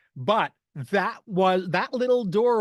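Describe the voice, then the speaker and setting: An American accent in a dry, close sound with no echo over a quiet background. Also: man. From New York. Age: 70s. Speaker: human potential strategist. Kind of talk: presentation talk. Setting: video call.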